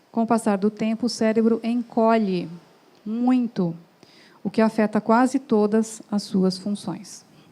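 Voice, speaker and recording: A woman's fairly high, somewhat breathy voice, dark and mellow in tone, at a fairly slow pace with fairly even intonation. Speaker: doctor giving a talk. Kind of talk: lecture. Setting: stage with audience.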